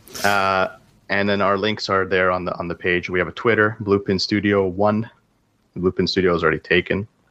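This man has a Canadian accent and a fairly low pitch, and he talks at a fairly quick pace with a bright, sharp tone and monotone, flat intonation. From Canada. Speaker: indie game developer. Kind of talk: casual interview. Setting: call. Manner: hesitant, many fillers.

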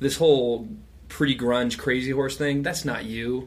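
A man talks at a moderate pace and a medium pitch. There is audible echo in the room. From rural Western Colorado. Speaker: touring guitarist and songwriter. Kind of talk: casual chat.

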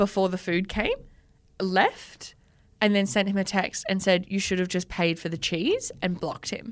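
The speaker has an Australian accent, heard in a very clean recording with a silent background. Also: woman. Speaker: podcast co-host. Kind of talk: casual chat.

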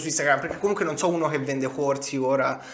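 An animated-sounding man is heard amid noticeable background noise and audible room echo. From Tuscany, Grosseto. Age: 20s. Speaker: digital entrepreneur and crypto investor. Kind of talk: casual interview.

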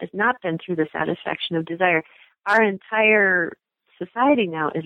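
A woman talks in a plain, everyday voice, keeping a moderate pace and ordinary pitch variation. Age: 60s. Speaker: author. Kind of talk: interview.

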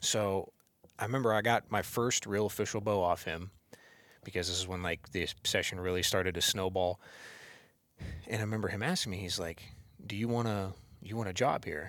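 Fairly low-pitched man with an American accent, fairly even intonation, a fairly quick pace and long, frequent pauses. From northeast Ohio. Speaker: bow technician. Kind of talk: casual chat. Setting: office.

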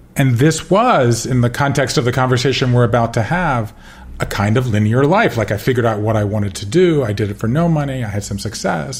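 Against noticeable background noise, a man with an American accent talks at a very fast pace with ordinary pitch variation. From US South, Georgia. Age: 50s. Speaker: author. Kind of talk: interview.

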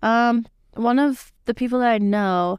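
Very slowly, a woman with a fairly high pitch speaks in a dry, close sound with no echo. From US, Mexican-American family. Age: 20s. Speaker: college student and soccer player. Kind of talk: casual chat; short prepared speech recap.

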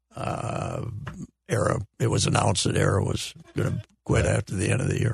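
The speaker is a man. His voice has vocal fry. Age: 70s. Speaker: sports columnist. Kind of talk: casual chat. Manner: animated.

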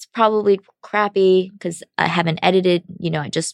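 A woman with an American accent talks in an ordinary speaking voice at a medium pitch, her intonation fairly even. The sound is dry and close with no echo, on a very clean recording with a silent background. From China, raised in the US from childhood. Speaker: film director. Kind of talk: interview.

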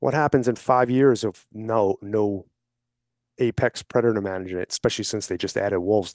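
A man's unremarkable speaking voice with an American accent, fairly low in pitch with ordinary pitch variation, at a fairly quick pace, dry and close with no echo over a quiet background. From New York (Brooklyn and Long Island). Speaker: hunting outfitter and wildlife advocacy group vice president. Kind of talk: casual interview.

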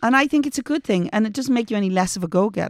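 A woman talks with lively intonation in an Irish accent. The recording is very clean, with a silent background. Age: 50s. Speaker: advice podcast co-host. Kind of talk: casual chat. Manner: calm, measured.

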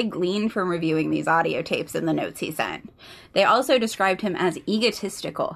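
A woman with a normal speaking voice talks at a fairly quick pace and medium pitch, with ordinary pitch variation. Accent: American. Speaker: podcast co-host. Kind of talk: casual chat and true crime storytelling.

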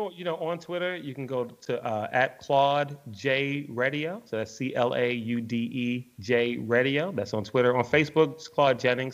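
A normal speaking voice with an American accent, ordinary pitch variation, a moderate pace and hardly any pauses. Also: man, medium pitch for a man. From Washington, D.C. (Northeast). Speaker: sports radio broadcaster. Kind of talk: casual interview.

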